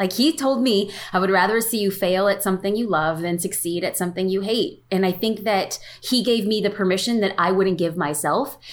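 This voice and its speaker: Very clean recording, silent background. A woman at medium pitch talks at a fairly quick pace with ordinary pitch variation and very even loudness. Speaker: photographer and social media educator. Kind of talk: casual interview. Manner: fast talker.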